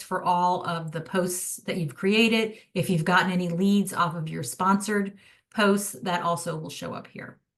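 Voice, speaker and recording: A woman's unremarkable speaking voice, medium in pitch, at a moderate pace with fairly even intonation. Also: hardly any pauses, big swings in loudness. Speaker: social media marketing rep. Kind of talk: product demo presentation to realtors.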